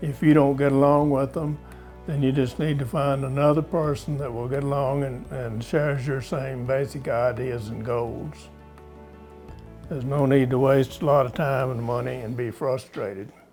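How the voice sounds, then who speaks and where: Over music in the background, a man with a medium pitch speaks at a moderate pace with fairly even intonation. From rural America. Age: 80s+. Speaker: horseman and retired professor. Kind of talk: interview. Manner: conversational, some hesitations.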